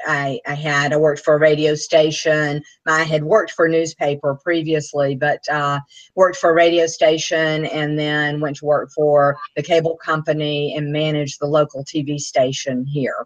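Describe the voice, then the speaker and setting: With a Southern US accent, the speaker goes at a moderate pace in a monotone, flat intonation. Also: woman, very deep, low pitch for a woman. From US South, Anniston, Alabama. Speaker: author and speaker. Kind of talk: interview.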